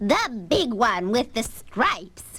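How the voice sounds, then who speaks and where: In a put-on character voice that sounds female, the speaker shouts loudly in a shrill tone. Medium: audio drama. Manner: loud, yelling.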